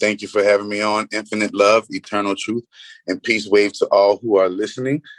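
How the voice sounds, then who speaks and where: A man speaks with a New Orleans accent at a fairly low pitch, in monotone, flat intonation. The sound is dry and close with no echo. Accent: New Orleans US Southern. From New Orleans, Louisiana. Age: 30s. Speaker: spiritual healer. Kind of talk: podcast interview. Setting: remote call from a roadside room.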